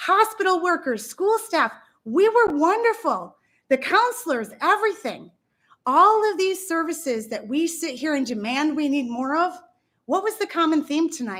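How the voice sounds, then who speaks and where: A woman with an extremely high pitch uses a raised, projected voice at a fairly slow pace, her tone bright, sharp and animated. Her pitch swings very widely on a very clean recording with a silent background. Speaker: school staff member, public commenter. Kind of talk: public comment speech. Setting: county legislature meeting.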